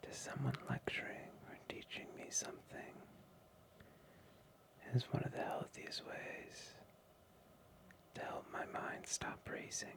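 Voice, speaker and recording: A man whispers at a very slow pace, with long, frequent pauses and big swings in loudness. Noticeable background noise sits behind him. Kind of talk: ASMR sleep trivia. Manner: soft-spoken, whispered, slow.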